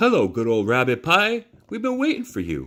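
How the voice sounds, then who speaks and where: Using a put-on character voice, this man delivers his lines at a moderate pace. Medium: read story.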